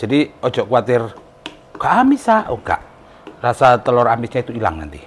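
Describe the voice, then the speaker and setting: A man of medium pitch speaks with an East Javanese accent. Noticeable noise sits in the background. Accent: East Javanese Indonesian. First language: Javanese (speaking Indonesian). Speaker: cooking vlogger. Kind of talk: cooking tutorial.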